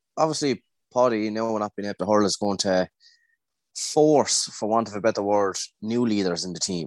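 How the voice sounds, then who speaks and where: Speaking with an Irish accent, a man uses a fairly low pitch and pauses often and at length. The sound is dry and close, with no echo. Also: quiet background. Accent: Tipperary Irish. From Ireland, Tipperary. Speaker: GAA club member. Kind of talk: casual chat.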